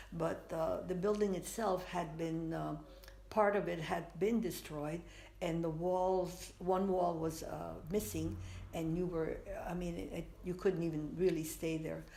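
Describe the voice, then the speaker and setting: A woman speaks at a fairly slow pace with fairly even intonation. Her tone is dark and mellow, and audible room echo surrounds it. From Spain. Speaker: artist. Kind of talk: interview, life story. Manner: halting, many fillers.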